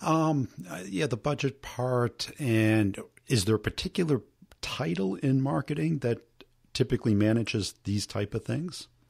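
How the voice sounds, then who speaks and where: A man speaks slowly-ish, at a fairly slow pace, in a medium pitch that is somewhat breathy. His intonation is lively, and the sound is dry and close with no echo. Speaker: podcast host and sales coach. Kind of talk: podcast interview.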